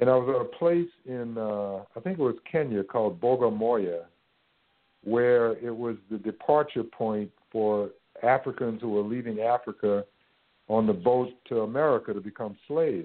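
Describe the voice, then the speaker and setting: Using a New Orleans accent, a man speaks at a medium pitch and a moderate pace with ordinary pitch variation. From US South. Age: 60s. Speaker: university president and spoken word poet. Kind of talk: casual interview.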